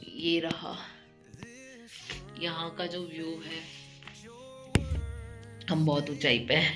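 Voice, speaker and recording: Over music in the background, a woman talks very slowly at a very deep, low pitch with monotone, flat intonation. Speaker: vlogger, mother of two. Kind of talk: casual vlog talk to camera.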